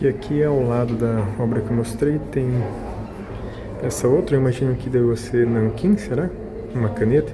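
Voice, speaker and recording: Soft-spoken and at a medium pitch, a man talks with fairly even intonation amid noticeable background noise and audible room echo. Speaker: vlogger. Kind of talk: casual vlog narration. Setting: art exhibition, indoors.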